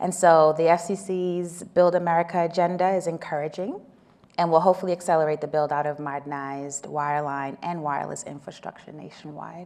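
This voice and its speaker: A woman speaks at a fairly quick pace in a fairly low pitch. Her intonation stays fairly even while her loudness swings widely. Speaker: telecom policy panelist. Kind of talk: panel discussion. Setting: conference stage with audience, small room.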